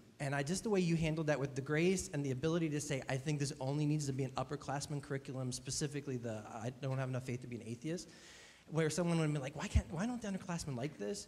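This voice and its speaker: Talking very fast, a man uses a fairly high pitch with ordinary pitch variation. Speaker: student project advisor. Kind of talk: feedback to a student.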